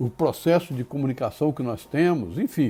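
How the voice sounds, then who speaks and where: Somewhat breathy and dark, mellow in tone, a man speaks at a fairly high pitch with lively intonation. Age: 70s. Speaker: spiritist lecturer. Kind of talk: lecture. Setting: live stream.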